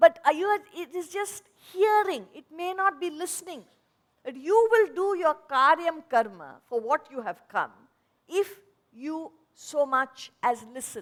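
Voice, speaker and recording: Her pitch extremely high and swinging very widely, a woman speaks at a fairly slow pace with big swings in loudness. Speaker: spiritual teacher. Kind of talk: lecture.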